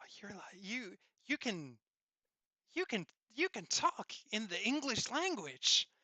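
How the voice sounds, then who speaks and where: In a put-on character voice, a man speaks with a high pitch and very wide pitch swings at a fairly slow pace, taking long, frequent pauses. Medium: game stream. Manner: excitable, awed.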